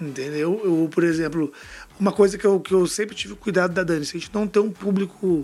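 Ordinary pitch variation runs through speech delivered at a fairly quick speed. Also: man. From Brasília, Brazil. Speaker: fashion brand founder. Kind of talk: interview.

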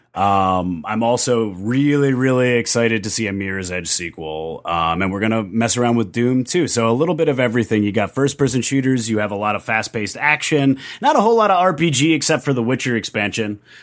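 Here a man has a plain, everyday voice at a medium pitch. He moves at a fairly quick pace with lively intonation and hardly any pauses. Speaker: guest on a nerd podcast. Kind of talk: casual chat.

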